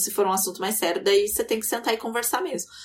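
This woman has a normal speaking voice, fairly high in pitch. Her intonation is lively. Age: 20s. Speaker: podcast co-host. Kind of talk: casual chat.

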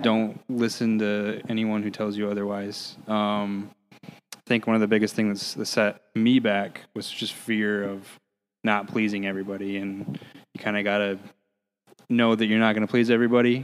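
Monotone, flat intonation marks this man's speech, delivered at a moderate pace and fairly low pitch with an American accent. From Michigan, US. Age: 20s. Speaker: band drummer. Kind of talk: casual chat.

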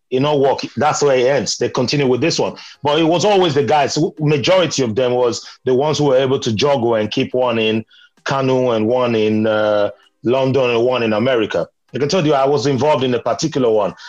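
A man at a very fast pace, with very even loudness and ordinary pitch variation. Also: medium pitch for a man. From Nigeria, Benin City. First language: Nigerian Pidgin. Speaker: podcast panelist. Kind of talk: casual chat. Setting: video call.

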